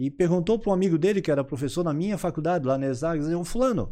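A man speaks very fast with a fairly high pitch, a dark, mellow tone and lively intonation, on a very clean recording with a silent background. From Florianópolis, Santa Catarina, southern Brazil. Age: 50s. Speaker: entrepreneur and vice mayor. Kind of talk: casual interview.

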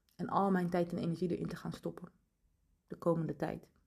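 A woman's somewhat breathy voice in a calm, relaxed tone. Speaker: podcast host and human design coach. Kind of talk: solo podcast monologue.

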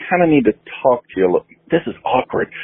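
The man's voice sits fairly high in pitch. His pitch swings very widely. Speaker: radio show host and musician. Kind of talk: laid-back radio DJ patter between songs, rambling asides. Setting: studio. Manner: loose, chatty and self-deprecating, drifting into personal anecdotes; casual, filler-laden delivery with frequent 'uh' and 'like'.

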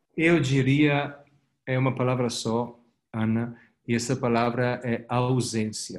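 A man's medium-pitched voice with an Italian accent, monotone and flat, at a fairly slow pace. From Italy. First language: Italian (speaking Portuguese). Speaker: company executive. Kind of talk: interview. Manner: halting, many repetitions and fillers.

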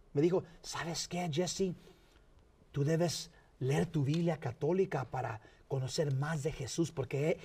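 A dark, mellow tone at a fairly slow pace. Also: man. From Los Angeles County, California (San Fernando), Mexican parents. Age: 50s. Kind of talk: interview.

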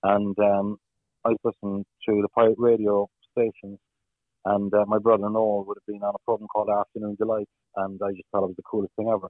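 With a Cork accent, a man speaks at a very fast pace and a fairly low pitch in monotone, flat intonation. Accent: Cork Irish. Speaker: football commentator and radio presenter. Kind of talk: interview. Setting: radio studio.

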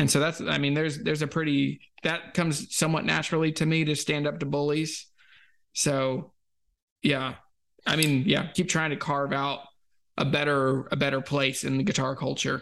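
A man's ordinary speaking voice, fairly high in pitch, with an American accent, moderate pace and very even loudness over a quiet background. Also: fairly even intonation. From Virginia (US South). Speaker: guitar YouTuber. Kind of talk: casual chat.

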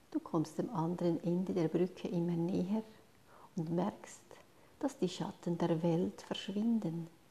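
The tone is gentle and calm. The pace is fairly slow, with long, frequent pauses. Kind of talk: guided meditation. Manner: slow, calm, soothing pace with long pauses between instructions; soft, gentle and hushed, addressing listener as 'du'.

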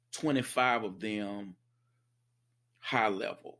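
With an American accent, a man speaks. His pace is very slow. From US South. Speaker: instructional technologist and podcaster. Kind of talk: casual interview.

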